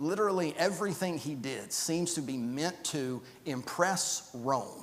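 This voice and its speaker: Audible room echo surrounds a man who speaks at a moderate pace with lively intonation. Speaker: Bible class teacher. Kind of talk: Bible class lecture. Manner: halting, many fillers and repeats.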